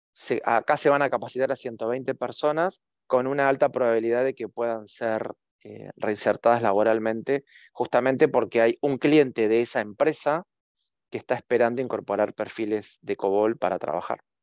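A man speaks at a moderate pace in an unremarkable speaking voice of medium pitch, with ordinary pitch variation. The sound is dry and close with no echo, and the background is quiet. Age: 50s. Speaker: communications professional and university lecturer. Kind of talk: interview.

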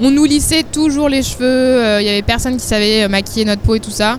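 Noticeable background noise is audible. A woman talks over it with fairly even intonation. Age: 20s. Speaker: fashion model. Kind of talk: casual chat.

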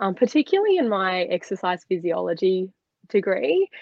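A woman talks at a moderate pace with an Australian accent. Her pitch swings very widely. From Australia, Sydney. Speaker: former swimmer and dietitian. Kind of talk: casual chat.

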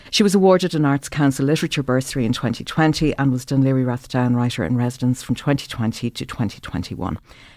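A woman with a very deep, low voice talks very fast with lively intonation. The recording is very clean, with a silent background. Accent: Irish. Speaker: podcast host and interviewer. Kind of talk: interview conversation. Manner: measured, formal.

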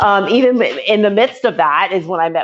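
With lively intonation and a moderate pace, a woman talks in a plain, everyday voice. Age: 40s. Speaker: author and entrepreneur. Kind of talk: interview.

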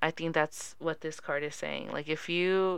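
Over a quiet background, a woman with an unremarkable speaking voice and fairly low pitch talks with fairly even intonation. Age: 20s. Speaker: podcast co-host. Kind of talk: reading aloud; casual chat.

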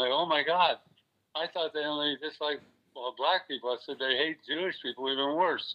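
A man with an unremarkable speaking voice, fairly high in pitch, fairly quick in pace, with fairly even intonation. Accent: American. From US South, Florida (West Palm Beach). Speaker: retired stuntman and actor. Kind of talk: interview. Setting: phone call.

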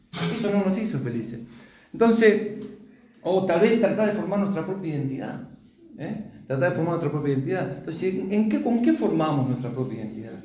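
The pitch swings very widely at a fairly quick pace. The room echo is audible and the background noise noticeable. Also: man, high pitch for a man. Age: 50s. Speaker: preacher. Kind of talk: sermon.

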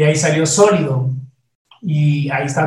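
Fairly high-pitched man at a fairly slow pace. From Ecuador. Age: 50s. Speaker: singer-songwriter. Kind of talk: interview conversation. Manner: halting, with frequent repetitions.

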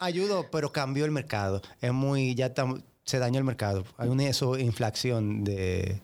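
In a very clean recording with a silent background, a normal speaking voice talks at a fairly slow pace with lively intonation and very even loudness. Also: man, medium pitch for a man, hardly any pauses. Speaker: podcast guest. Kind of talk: casual chat. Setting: studio. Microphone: close to the mic.

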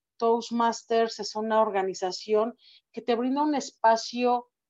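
A woman talks at a fairly slow pace. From Mexico. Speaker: public speaking club member. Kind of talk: interview.

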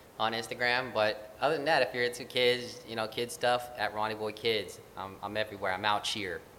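A man with a plain, everyday voice speaks at a fairly quick pace, his medium pitch held in fairly even intonation. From Filipino-American. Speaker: actor and children's musician. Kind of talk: interview.

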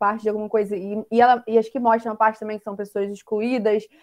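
A woman talks very fast at a fairly high pitch. Her intonation is monotone and flat over a quiet background. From Rio de Janeiro, Brazil. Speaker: literature student, discussion host. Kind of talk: online discussion panel.

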